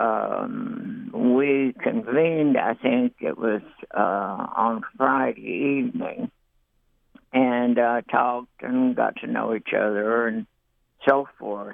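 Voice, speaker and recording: With an Appalachian accent, a man speaks at a very slow pace. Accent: Appalachian American. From eastern Kentucky, Perry and Letcher County. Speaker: writer. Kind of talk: reminiscence. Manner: halting with many fillers.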